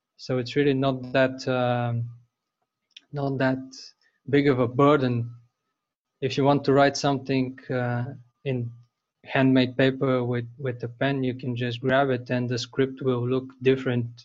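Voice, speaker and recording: A man with a Bulgarian accent speaks at a medium pitch and a fairly slow pace, in a flat monotone with long, frequent pauses. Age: 20s. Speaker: bookbinder. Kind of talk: interview.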